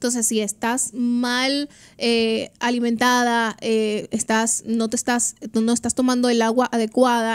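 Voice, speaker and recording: A woman's voice with a fairly high pitch. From Dominican Republic. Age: 20s. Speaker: trichologist and hair stylist; guest. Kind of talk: radio interview. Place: studio. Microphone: studio mic.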